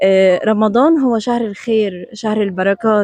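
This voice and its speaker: A woman's pitch varies in an ordinary way. The recording is dry and close, without echo. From Jordan. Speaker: TV presenter. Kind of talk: on-location TV report with street interviews. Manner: animated.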